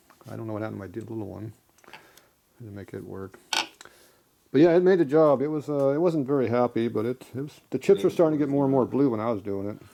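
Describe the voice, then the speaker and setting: A man's very fast, medium-pitched speech with a dark, mellow tone, lively intonation, big swings in loudness and long, frequent pauses. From United States. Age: 60s. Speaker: machinist. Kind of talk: casual chat. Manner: blunt, profane ranting.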